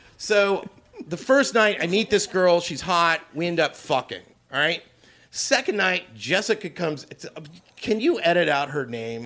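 With a bright, sharp tone and a high pitch, a man speaks at a fairly slow pace while his pitch swings very widely. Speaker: comedian guest. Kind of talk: casual chat. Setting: green room before a show.

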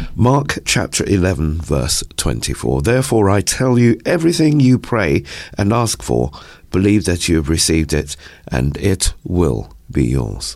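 Very deep and low, a man's voice carries vocal fry and very wide pitch swings at a fairly slow pace, with very even loudness. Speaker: news reader. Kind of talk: news reading and live chat. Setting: radio studio. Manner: formal, measured when reading news.

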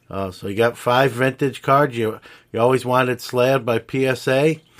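An unremarkable speaking voice at a fairly slow pace, with an American accent. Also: man. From New York City, Brooklyn. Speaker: podcast host and card dealer. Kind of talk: casual interview chat.

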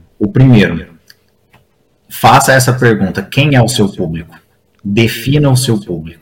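With lively intonation and a medium pitch, a man speaks at a fairly slow pace, somewhat breathy. He leaves long, frequent pauses. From Brazil, interior of São Paulo state (Franca). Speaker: recreation professional and leisure manager. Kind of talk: casual interview chat.

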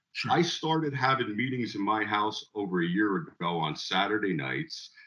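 With an American accent and an unremarkable speaking voice, a man talks at a moderate pace with lively intonation. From Northwest New Jersey. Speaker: recovering alcoholic sharing his story. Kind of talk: testimony.

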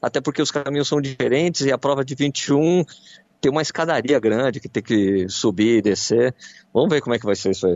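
An ordinary speaking voice, male and medium-pitched, full of lively intonation. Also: fairly quick pace. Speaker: radio running columnist. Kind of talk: radio chat.

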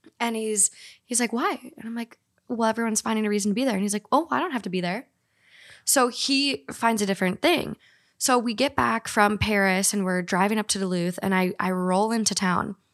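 A woman with an American accent talks at a fairly quick pace in a plain, everyday voice, pitched fairly high with ordinary pitch variation. The recording is very clean and dry, close with no echo, over a silent background. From Minnesota. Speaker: podcaster. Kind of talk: casual chat.

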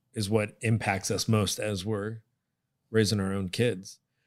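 The recording is very clean with a silent background. A man with an ordinary speaking voice talks fairly slowly at a fairly low pitch. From Connecticut. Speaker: podcast host. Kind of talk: interview.

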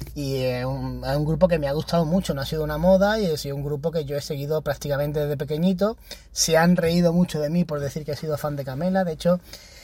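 Over noticeable background noise, a man with a fairly high voice talks at a very fast pace with hardly any pauses and fairly even intonation. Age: 30s. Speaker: podcaster. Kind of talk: casual monologue.

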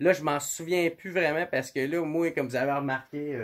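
Speaking with a Quebec accent at a moderate pace, a man uses a fairly high pitch and fairly even intonation. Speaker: podcast host. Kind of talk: podcast intro monologue; casual chat.

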